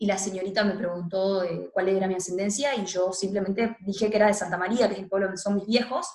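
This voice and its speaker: Noticeable background noise runs under a woman speaking very fast. Her pitch is medium and her intonation fairly even. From Argentina, Tucumán (northwest). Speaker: feminist activist and political scientist. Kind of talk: interview.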